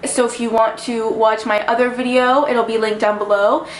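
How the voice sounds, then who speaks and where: This woman talks at a very fast pace in a fairly high pitch, with audible room echo and music in the background. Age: 20s. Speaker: vlogger. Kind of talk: personal vlog monologue. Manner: animated.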